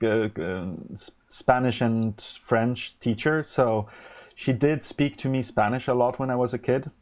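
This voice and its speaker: With a Polish accent, a man speaks at a medium pitch and a fairly slow pace. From Poland, then Germany from age 12. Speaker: electronics live streamer. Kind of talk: live stream chat while designing electronics. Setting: live stream. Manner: halting, many fillers and restarts.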